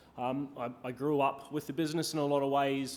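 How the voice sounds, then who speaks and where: A man speaks with a New Zealand accent. There is audible room echo in the recording. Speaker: hospitality executive, keynote speaker. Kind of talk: conference keynote talk. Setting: stage with audience. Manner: many filler ums, hesitant.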